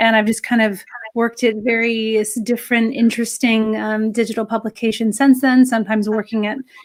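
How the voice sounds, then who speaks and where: A woman with an American accent talks at a moderate pace. Her voice sits fairly high, and her intonation stays fairly even. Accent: American accent, still noticeable. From California. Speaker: editor and journalist, author. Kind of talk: interview.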